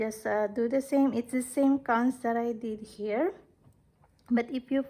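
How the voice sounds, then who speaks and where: A woman speaks with a high-pitched voice. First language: not English. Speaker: crochet tutorial creator. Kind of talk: tutorial. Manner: casual, hesitant with fillers.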